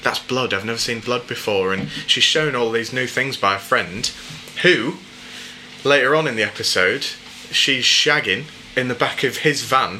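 A man with an English accent speaks at a moderate pace in a medium pitch, with ordinary pitch variation and noticeable background noise. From England. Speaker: podcast host. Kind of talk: casual chat.

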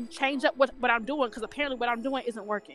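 Music plays in the background as a woman speaks. Her pitch is high and her intonation fairly even. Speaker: podcast guest. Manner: fast talker.

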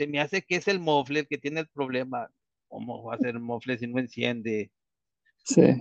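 A man speaks at a medium pitch with ordinary pitch variation. The sound is dry and close, with no echo. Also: moderate pace. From Mexico. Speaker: engineering consultant. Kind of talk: casual interview. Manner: halting, many fillers and repetitions.

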